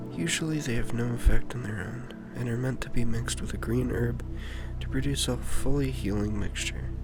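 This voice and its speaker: A soft-spoken man talks at a moderate pace with a gentle tone. Music plays in the background. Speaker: ASMR creator. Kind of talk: ASMR wiki reading. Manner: gentle, soft-spoken.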